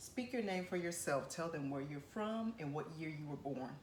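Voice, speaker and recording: Against noticeable background noise, a woman with a fairly low voice talks with lively intonation. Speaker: interviewer, channel founder. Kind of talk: interview questions.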